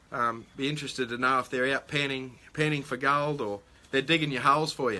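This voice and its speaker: A bright, sharp tone comes through with an Australian accent on a very clean recording with a silent background. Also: man. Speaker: metal detecting livestream host. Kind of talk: live stream chat reading viewer comments. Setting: live stream. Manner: hesitant, many fillers.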